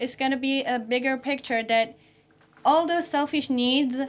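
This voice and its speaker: A woman with a non-native accent speaks at a high pitch and a fairly slow pace, keeping her intonation fairly even. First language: not English. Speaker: podcast panelist. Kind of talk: panel discussion. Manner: halting, many fillers.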